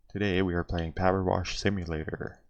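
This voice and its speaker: A soft-spoken man talks at a fairly slow pace with a very deep, low pitch. The background is quiet. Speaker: gaming youtuber. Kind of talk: casual gameplay chat. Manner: hesitant with fillers.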